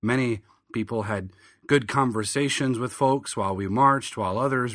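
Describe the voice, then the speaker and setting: A man with an American accent has a plain, everyday voice and ordinary pitch variation. The recording is very clean with a silent background. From southern Michigan. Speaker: pastor and podcast host. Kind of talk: monologue commentary.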